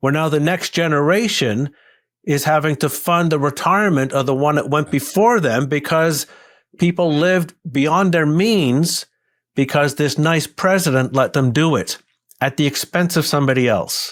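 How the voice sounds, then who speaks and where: A man speaks at a moderate pace in an ordinary speaking voice, fairly high-pitched, with ordinary pitch variation, on a very clean recording with a silent background. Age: 60s. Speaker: investment consultant and author. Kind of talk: podcast interview.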